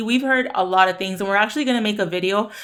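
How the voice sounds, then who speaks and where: The speaker is a woman with a Spanish accent. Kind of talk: casual Q&A chat. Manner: fast.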